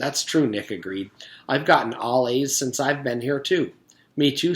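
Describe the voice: Its pitch shifts in an ordinary way. The clip is plain reading aloud.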